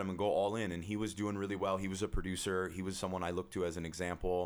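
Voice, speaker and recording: Energetic in tone, a man talks very fast in a very deep, low voice. The recording is very clean, with a silent background. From Southern California, Orange County. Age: 30s. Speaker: financial advisor. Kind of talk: podcast interview. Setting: studio.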